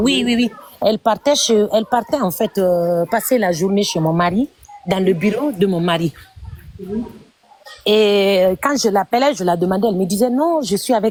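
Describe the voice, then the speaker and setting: With lively intonation, a woman speaks in a dry, close sound with no echo over noticeable background noise. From Guinea. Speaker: caller sharing personal story on live stream. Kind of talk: testimony. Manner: halting.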